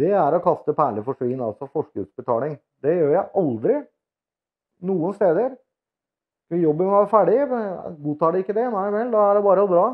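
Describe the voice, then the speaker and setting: A man at a moderate pace with very wide pitch swings, against a quiet background. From Norway. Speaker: vlogger. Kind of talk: casual vlog monologue. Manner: halting, many filler words. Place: home room. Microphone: lapel.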